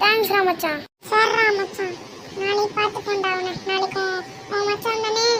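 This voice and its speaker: A cartoonish character voice from a man, pitched extremely high, over clear background noise. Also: moderate pace. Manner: slangy, casual, teasing.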